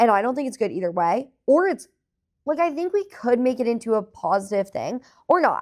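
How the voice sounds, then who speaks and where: A woman speaks loudly at a moderate pace, her pitch swinging very widely. The recording is very clean, with a silent background. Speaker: podcast co-host. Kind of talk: casual chat.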